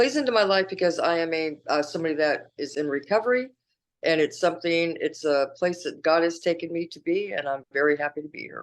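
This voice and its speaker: A woman talks at a fairly quick pace with a fairly low pitch. Her pitch varies in an ordinary way while her loudness swings widely. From Oregon, US Pacific Northwest. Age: 60s. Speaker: addiction counselor. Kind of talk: interview testimony.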